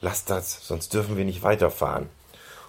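Fairly even intonation in a natural reading voice.

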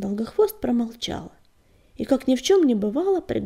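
The speaker is reading aloud. The voice sounds natural.

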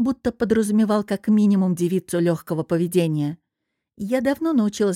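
Ordinary pitch variation in reading aloud in a natural voice, over a quiet background.

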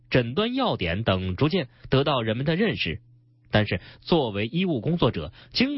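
The voice is a natural one, used for reading.

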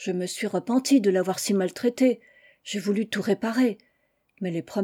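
Over a quiet background, someone is reading aloud in a natural voice with ordinary pitch variation.

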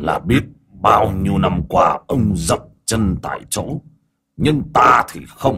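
Speaking slowly at a fairly low pitch, a man uses a put-on character voice with a bright, sharp tone, a husky, rough edge and lively intonation.

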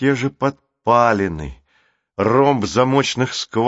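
A quiet background sits behind a natural reading voice whose pitch varies in an ordinary way.

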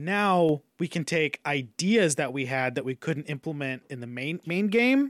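An unremarkable speaking voice from a man with fairly high pitch and lively intonation, at a fairly slow pace with hardly any pauses, in a dry, close sound with no echo and a very clean recording with a silent background. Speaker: video game podcaster. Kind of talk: casual chat.

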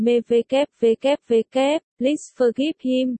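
A woman uses a put-on character voice with a high pitch. She speaks at a very slow pace. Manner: cute, pleading.

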